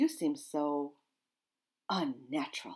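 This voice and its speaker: This is a put-on character voice. It sounds shrill at a middle pitch. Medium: read story.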